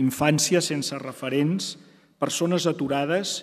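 A man's very slow speech carries fairly even intonation. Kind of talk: formal ceremonial speech. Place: hall. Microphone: podium.

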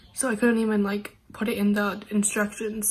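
A woman speaks at medium pitch and a moderate pace. Room echo is audible.

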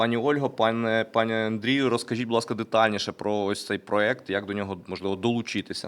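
The speech moves at a fairly quick pace with hardly any pauses. Its intonation stays monotone and flat. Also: man, medium pitch for a man. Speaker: briefing moderator. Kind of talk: press briefing. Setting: studio. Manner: formal.

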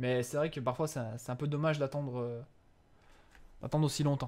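At a fairly quick pace, a man speaks in an animated tone at a medium pitch. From eastern France (Franche-Comté). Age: 20s. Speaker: gaming streamer. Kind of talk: live gameplay commentary with chat. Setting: live stream. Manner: animated, hesitant.

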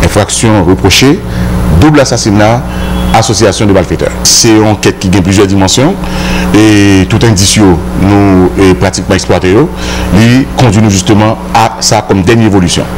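Over noticeable background noise, a man with a fairly low pitch speaks at a fairly quick pace, his pitch swinging very widely. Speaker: police spokesperson. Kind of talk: press briefing statement. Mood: serious, official. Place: office. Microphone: handheld.

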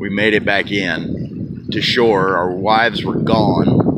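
A man talks over loud background noise. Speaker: vlogger. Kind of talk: casual vlog chat. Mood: amused storytelling, laughing. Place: waterside. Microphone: phone near.

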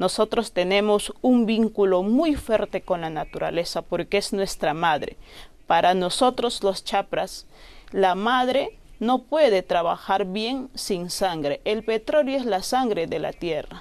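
A woman's voice with lively intonation at a fairly slow pace. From northern Peruvian Amazon, Loreto. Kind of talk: interview. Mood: earnest, grave. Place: studio.

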